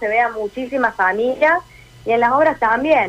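The speaker is a woman with a fairly high pitch. She talks at a moderate pace with ordinary pitch variation. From Córdoba, Argentina. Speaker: radio correspondent and dancer. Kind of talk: radio interview.

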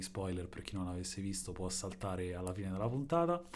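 At a fairly quick pace, a man talks with audible room echo around him. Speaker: podcast co-host. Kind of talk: casual chat. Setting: home in an apartment building.

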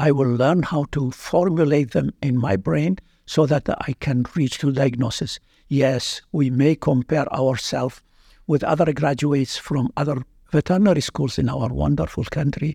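Somewhat breathy and dark, mellow in tone, a man with an Iraqi accent and fairly high pitch talks at a moderate pace, heard dry and close with no echo over a quiet background. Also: ordinary pitch variation. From Iraq (Baghdad). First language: Arabic. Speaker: veterinary anatomy professor. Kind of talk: interview.

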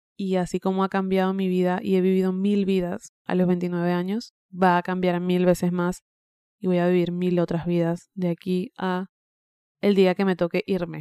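A woman of medium pitch speaks at a moderate pace in a dark, mellow tone with monotone, flat intonation, the sound dry and close with no echo. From Venezuela. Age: 20s. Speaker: podcast host. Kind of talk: personal monologue. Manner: conversational.

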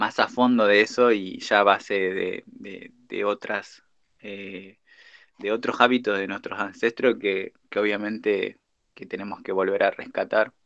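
Speaking at a fairly slow pace, a man delivers the words. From Argentina. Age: 20s. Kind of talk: interview. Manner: halting, many fillers.

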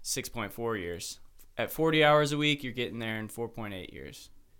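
A man with a Midwestern American accent on a very clean recording with a silent background. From US Midwest (Ohio, Cleveland east suburbs). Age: 20s. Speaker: podcast co-host, studio co-founder. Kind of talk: casual chat. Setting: studio.

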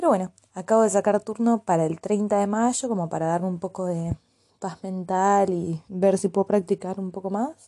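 Recorded dry and close with no echo, a woman speaks at a medium pitch in a dark, mellow tone with fairly even intonation. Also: moderate pace. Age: 20s. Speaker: university student. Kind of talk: audio diary.

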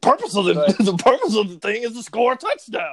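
A man keeps a moderate pace and a high pitch while doing a put-on character voice. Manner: smart-ass commentating.

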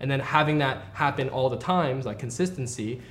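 A man with a medium pitch and ordinary pitch variation talks while noticeable background noise continues. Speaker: podcast host. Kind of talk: casual interview.

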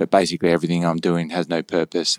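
This man with an Australian accent has a very deep, low pitch, heard in a very clean recording with a silent background and a dry, close sound without echo. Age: 30s. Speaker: podcast co-host. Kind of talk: casual chat.

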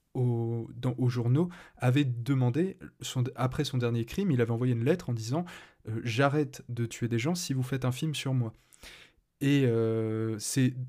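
On a very clean recording with a silent background, a man speaks at a fairly slow pace in a medium pitch and a dark, mellow tone, with ordinary pitch variation. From France. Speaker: podcast host. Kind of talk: casual chat. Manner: halting.

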